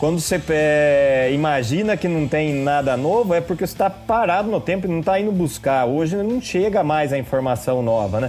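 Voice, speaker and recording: A man with a São Paulo interior accent, at a moderate pace with hardly any pauses and lively intonation. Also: fairly high pitch for a man, very even loudness. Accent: Piracicaba (interior São Paulo). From interior of São Paulo state, Brazil (Piracicaba). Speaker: brewmaster and drummer. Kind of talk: podcast interview.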